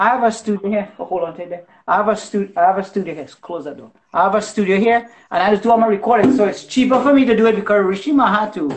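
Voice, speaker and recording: Someone talks at a very fast pace with ordinary pitch variation. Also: man, high pitch for a man. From Trinidad. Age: 40s. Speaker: musician. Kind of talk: casual chat.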